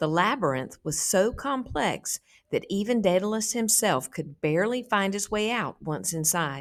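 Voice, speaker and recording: A woman with an American accent speaks at medium pitch and a moderate pace, with lively intonation and an unremarkable speaking voice, on a very clean recording with a silent background. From south Georgia, USA. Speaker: teacher. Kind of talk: story read aloud to students.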